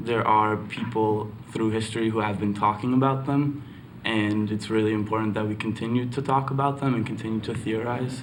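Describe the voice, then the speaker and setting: Over noticeable background noise and audible room echo, a man speaks at a fairly quick pace with monotone, flat intonation. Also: medium pitch for a man. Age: 20s. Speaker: student. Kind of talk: testimony.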